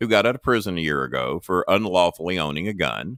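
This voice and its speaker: In a dry, close sound with no echo, a man talks at a moderate pace with a bright, sharp tone, vocal fry, and very wide pitch swings. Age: 60s. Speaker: retired wrestling manager and podcast host. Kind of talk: casual chat. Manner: animated.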